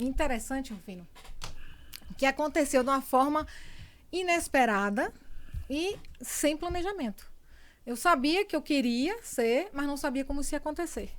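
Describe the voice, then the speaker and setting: On a very clean recording with a silent background, a woman with a Bahian accent speaks in a high voice at a moderate pace, with lively intonation and long, frequent pauses. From Bahia, Brazil (born in São Paulo). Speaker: communicator and entrepreneur. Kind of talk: interview testimony.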